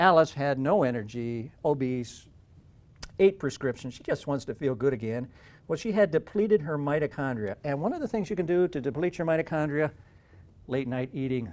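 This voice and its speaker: Using a normal speaking voice, a man talks at a fairly quick pace with lively intonation and a fairly high pitch. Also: very clean recording, silent background. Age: 60s. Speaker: health coach promoting a diet program. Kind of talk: sales pitch.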